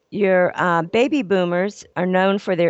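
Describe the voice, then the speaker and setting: At a fairly slow pace, a woman with an American accent speaks at medium pitch with ordinary pitch variation in a plain, everyday voice. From Ohio. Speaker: business etiquette consultant and trainer. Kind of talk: radio interview.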